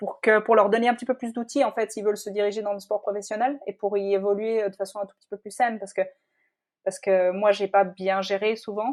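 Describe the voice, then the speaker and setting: A woman's medium-pitched, monotone, flat voice at a fairly quick pace, with big swings in loudness. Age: 30s. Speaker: professional triathlete. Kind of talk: interview. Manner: hesitant, many fillers.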